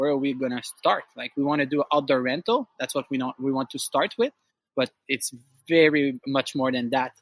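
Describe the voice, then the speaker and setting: In a Quebec accent, a man speaks at a fairly high pitch and a moderate pace with fairly even intonation, the sound dry and close with no echo. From Quebec, Outaouais (Gatineau). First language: French. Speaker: outdoor rental business owner. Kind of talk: interview conversation. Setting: outdoors. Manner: halting.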